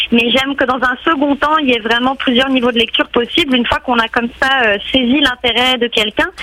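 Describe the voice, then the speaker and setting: Over noticeable background noise, a woman talks fairly quickly in a high voice with fairly even intonation and very even loudness. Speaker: art curator. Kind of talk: radio interview. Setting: phone call.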